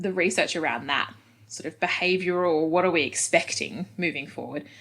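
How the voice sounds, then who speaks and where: Speaking in an Australian accent, a woman has a fairly low pitch and ordinary pitch variation. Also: moderate pace. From Australia, Adelaide. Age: 30s. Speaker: head of marketing at a football club. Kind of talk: podcast interview. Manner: casual, many fillers.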